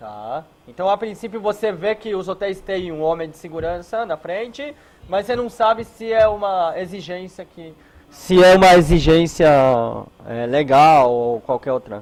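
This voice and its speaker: At a fairly slow pace, a man speaks in a high pitch with lively intonation and big swings in loudness. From Israel. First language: non-native Portuguese speaker, from Israel (speaking Portuguese). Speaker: hotel security consultant. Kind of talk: lecture. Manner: halting, many filler words.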